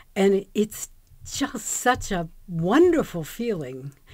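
A woman with a dark, mellow tone speaks against a quiet background. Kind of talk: personal storytelling to camera. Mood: warm, reflective, delighted.

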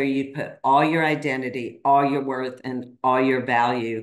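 Over a quiet background with audible room echo, a woman with a very deep, low pitch speaks at a moderate pace with fairly even intonation. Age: 50s. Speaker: podcaster and coach; podcaster, coach. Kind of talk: casual chat. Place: home room. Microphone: video call.

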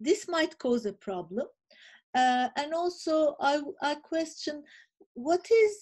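A woman with a Turkish accent speaks at a fairly slow pace in a dark, mellow tone, her pitch swinging very widely over a quiet background. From Turkey. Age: 50s. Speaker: think tank director; speaker. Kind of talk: panel presentation. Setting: video call. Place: home room. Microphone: webcam.

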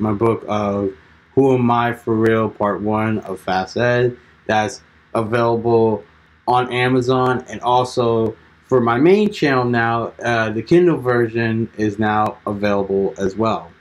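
A man's fairly slow delivery with fairly even intonation. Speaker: channel host. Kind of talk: casual vlog chat. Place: home room. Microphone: phone near.

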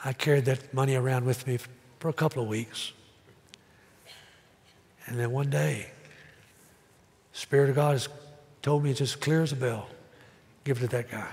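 Somewhat breathy, a man talks at a moderate pace with fairly even intonation and long, frequent pauses. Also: medium pitch for a man. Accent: American. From Tennessee. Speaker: pastor. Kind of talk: sermon preached to congregation. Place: church.

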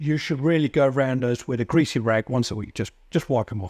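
Here a man speaks at a moderate pace with ordinary pitch variation. The background is quiet and the sound is dry with no echo. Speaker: presenter. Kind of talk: tutorial. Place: workshop. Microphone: lapel.

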